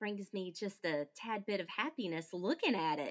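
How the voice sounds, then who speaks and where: A woman talks at a fairly slow pace. Hers is a normal speaking voice, medium in pitch. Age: 40s. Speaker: podcaster and widow. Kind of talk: casual interview.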